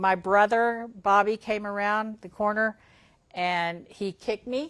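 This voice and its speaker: Speaking at a medium pitch with fairly even intonation, a woman with a Texan accent is heard on a very clean recording with a silent background. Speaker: school superintendent. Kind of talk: casual interview. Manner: loud.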